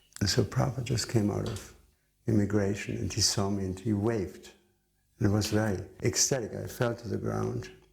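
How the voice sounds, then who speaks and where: The speaker talks at a fairly quick pace with a non-native accent, some vocal fry, and ordinary pitch variation. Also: man, fairly low pitch for a man. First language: not English. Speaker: devotee recalling memories. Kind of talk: testimony.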